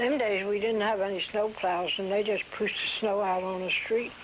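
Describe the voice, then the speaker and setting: A woman of medium pitch speaks at a moderate speed with fairly even intonation while noticeable noise runs in the background. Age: 80s+. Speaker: oral history interviewee. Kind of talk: oral history interview. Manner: halting.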